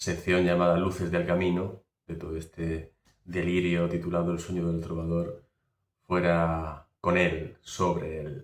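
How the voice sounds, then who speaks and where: Here a man speaks with a very deep, low pitch. He goes at a very slow pace. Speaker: podcast host and interviewer. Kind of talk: interview question.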